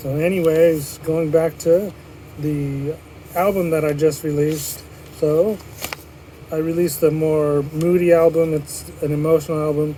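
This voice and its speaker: Amid noticeable background noise, a man speaks at a fairly slow pace with a fairly high pitch and monotone, flat intonation. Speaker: podcast host. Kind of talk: solo podcast monologue.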